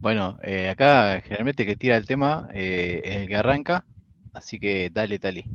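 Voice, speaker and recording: A man speaks in an unremarkable speaking voice, pitched fairly low. His pace is moderate and his pitch variation ordinary. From Pergamino, interior of Buenos Aires province, Argentina. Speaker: podcast co-host, woodworker. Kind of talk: casual chat. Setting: live stream.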